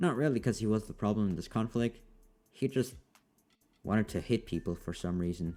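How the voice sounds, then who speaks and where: Over music in the background, a man with a fairly low pitch speaks at a fairly quick pace with lively intonation and long, frequent pauses. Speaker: fan fiction narrator. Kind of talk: story narration. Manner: casual.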